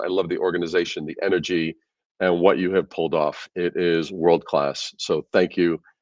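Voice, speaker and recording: A man with a New York accent, a very deep, low pitch and an enthusiastic tone, in a dry, close sound with no echo and a quiet background. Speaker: branding expert. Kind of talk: conference presentation. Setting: video call from office. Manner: fast.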